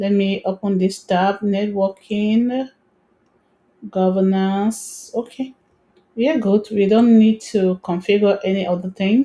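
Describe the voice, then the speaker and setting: A woman with a dark, mellow tone speaks at medium pitch, somewhat breathy, with fairly even intonation. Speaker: tech tutorial creator. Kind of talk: screen-recorded tutorial. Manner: fast.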